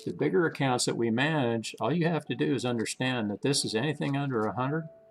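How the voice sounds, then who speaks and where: A man rushes along at a very fast pace, with ordinary pitch variation, amid noticeable background noise. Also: medium pitch for a man. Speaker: stock trading channel host. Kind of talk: live trading commentary. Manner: casual, halting with self-corrections.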